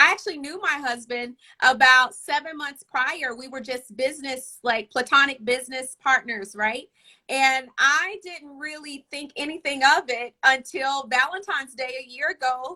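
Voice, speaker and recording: Raising and projecting her high, bright, sharp voice, a woman talks at a moderate pace with a slight Southern US accent. Her loudness swings widely. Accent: slight Southern twang. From US South, Arkansas. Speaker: relationship coach and author. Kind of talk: casual chat.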